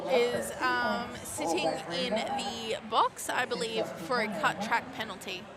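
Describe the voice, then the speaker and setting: With an Australian accent, a woman speaks very slowly at a fairly high pitch with ordinary pitch variation. Music plays in the background. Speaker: roller derby commentator. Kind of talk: live commentary. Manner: animated.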